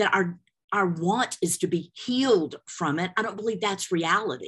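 An unremarkable speaking voice from a woman, medium in pitch with ordinary pitch variation, at a fairly slow pace over a quiet background. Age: 60s. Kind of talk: personal testimony in interview.

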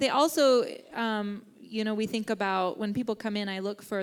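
In an American accent, a woman with an ordinary speaking voice talks at a fairly high pitch with ordinary pitch variation, on a very clean recording with a silent background. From Kansas. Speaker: therapist. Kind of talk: interview. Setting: church.

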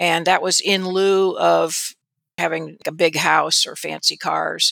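In a US Midwestern accent, a woman speaks at a very slow pace on a very clean recording with a silent background. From Indiana, US Midwest (South Bend). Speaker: radiologist and medical board executive. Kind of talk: interview.

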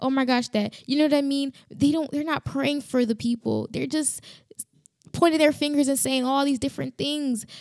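Speaking at a moderate pace, a woman uses a high pitch. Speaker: podcast host. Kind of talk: solo podcast monologue, faith talk. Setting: home with construction noise, standing. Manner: animated, gets loud when passionate; casual, many filler words.

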